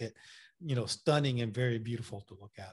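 The voice is somewhat breathy with ordinary pitch variation, on a very clean recording, silent background. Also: man. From Puerto Rico, then Massachusetts. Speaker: landscape and wildlife photographer, workshop leader. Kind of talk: interview, casual chat.

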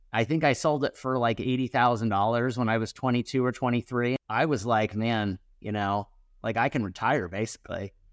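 A normal speaking voice from a man at medium pitch, fairly even in intonation, with a dry, close sound, no echo and a quiet background. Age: 40s. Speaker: entrepreneur and company CEO. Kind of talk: interview.

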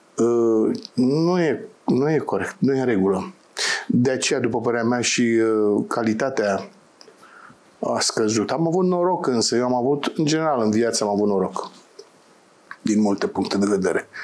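A man with a plain, everyday voice, medium in pitch, at a fairly slow pace, with lively intonation and very even loudness. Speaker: theatre director. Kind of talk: interview.

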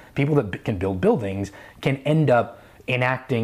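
A somewhat breathy man with an American accent. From New York. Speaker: company founder. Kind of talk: casual chat.

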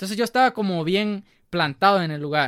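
Heard through a very clean recording with a silent background and a dry, close sound with no echo, a man talks at a moderate pace in a bright, sharp tone. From El Salvador, Chalatenango. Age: 20s. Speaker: student and church musician. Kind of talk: casual interview testimony. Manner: halting, many repetitions and fillers.

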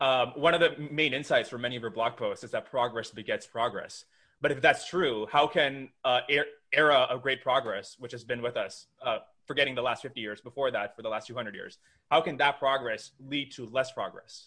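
With an unremarkable speaking voice, a man talks fairly quickly, pitched fairly high and with ordinary pitch variation. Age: young. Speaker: podcast host. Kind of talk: interview conversation.

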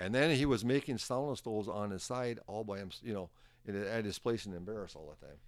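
A man with an Upper Midwest accent talks at a very fast pace, his pitch fairly low with ordinary variation. The recording is very clean, with a silent background. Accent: Upper Midwest (Minnesota). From Northern Minnesota. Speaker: sauna stove manufacturer. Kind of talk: casual chat. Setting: in person at his workplace. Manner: animated.

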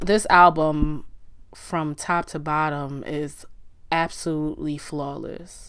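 A woman's very deep, low voice, flat and monotone, at a fairly slow pace. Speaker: podcast host. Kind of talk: solo monologue podcast, casual. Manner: chill, monotone; casual, laughs often.

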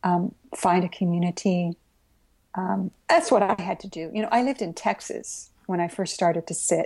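A somewhat breathy woman at medium pitch, with ordinary pitch variation and a moderate pace. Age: 60s. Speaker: Zen Buddhist priest and author. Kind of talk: interview conversation.

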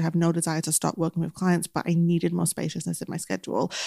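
This woman has a fairly low-pitched voice and a strong northern English accent. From northern England. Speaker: business coach and podcast co-host. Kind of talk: casual advice chat. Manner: fast talker.

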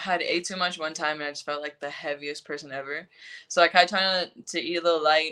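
Bright, sharp tone in a monotone, flat delivery on a very clean recording with a silent background. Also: woman. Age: 20s. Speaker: professional soccer player. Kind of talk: casual interview.

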